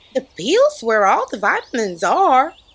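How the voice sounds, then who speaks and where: A high put-on character voice. It moves at a moderate pace. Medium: read story. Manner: calm, matter-of-fact.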